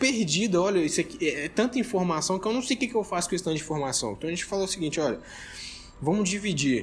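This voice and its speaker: This man talks with a high pitch and lively intonation. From Brazil, Minas Gerais (Belo Horizonte/Contagem). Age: young. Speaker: entrepreneur, investment company founder. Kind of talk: casual interview chat.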